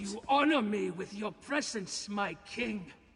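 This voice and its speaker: Using a put-on character voice, a high-pitched man speaks at a fairly slow pace. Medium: video game. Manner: fierce, vengeful.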